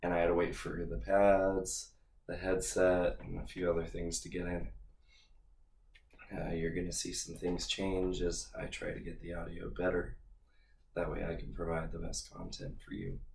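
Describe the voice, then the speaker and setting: The speaker is male and keeps a moderate pace. Room echo can be heard around him. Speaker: fitness podcast host. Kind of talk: solo podcast monologue.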